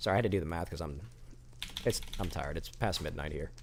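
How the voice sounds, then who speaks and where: Words pour out at a very fast pace from a man. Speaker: gaming streamer. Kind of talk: live gameplay commentary.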